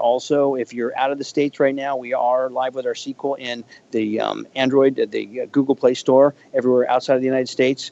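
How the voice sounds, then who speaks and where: A man talks at a fairly quick pace. He speaks with a Californian accent. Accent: Californian American. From US West Coast, Northern California Bay Area. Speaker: video game executive. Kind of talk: interview. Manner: halting, repeats words.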